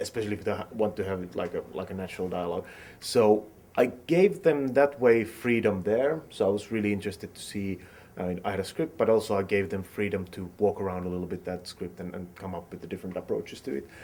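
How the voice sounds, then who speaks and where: In a Finnish accent, a man talks very fast at a fairly low pitch with a dark, mellow tone, ordinary pitch variation, and big swings in loudness. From Finland. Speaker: film director. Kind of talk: interview. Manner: halting.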